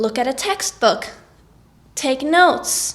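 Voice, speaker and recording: The speaker has a Norwegian accent. The pace is very slow. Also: woman. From Norway. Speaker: singer and vlogger. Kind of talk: tutorial.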